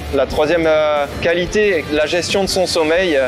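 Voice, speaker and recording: High-pitched male voice with ordinary pitch variation over background music. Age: 30s. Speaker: maritime pilot. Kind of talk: interview portrait. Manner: hesitant with fillers.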